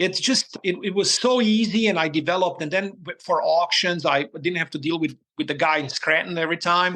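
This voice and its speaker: Against a quiet background, a man with a bright, sharp tone talks at a fairly quick pace with ordinary pitch variation. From former Yugoslavia. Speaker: tennis coach and cattle farmer. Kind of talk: casual interview chat, storytelling. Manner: animated.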